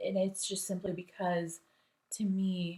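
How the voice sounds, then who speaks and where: Somewhat breathy, a woman's voice proceeds at a fairly slow pace. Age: 40s. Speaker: lawyer and beauty enthusiast. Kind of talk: casual talk to camera.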